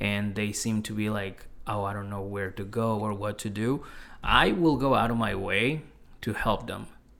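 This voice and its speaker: A man's fairly low voice holds fairly even intonation at a moderate pace. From Mexico City, then South Shore of Massachusetts. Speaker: stand-up comedian. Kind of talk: casual chat.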